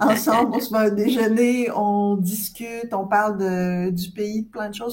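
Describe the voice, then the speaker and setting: Somewhat breathy, the voice moves at a fairly slow pace with fairly even intonation. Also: woman. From Quebec. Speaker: scientific director in cosmetics. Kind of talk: interview conversation.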